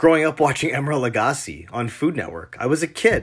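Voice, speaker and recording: With a Canadian accent, an unremarkable speaking voice moves at a moderate pace with lively intonation, captured in a very clean recording against a silent background. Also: man. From Canada, Toronto area. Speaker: chef. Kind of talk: recorded monologue.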